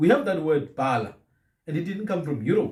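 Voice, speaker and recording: A man's voice with a dark, mellow tone. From southern Africa. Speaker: podcast host on African languages. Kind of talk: casual chat. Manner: repetitive stammering restarts.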